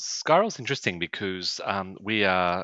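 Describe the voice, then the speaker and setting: At a moderate pace, a man with a very deep, low voice speaks in a Queensland accent. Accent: Australian (Queensland). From Atherton Tablelands, Queensland, Australia. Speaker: tourism sales representative. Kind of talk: casual interview.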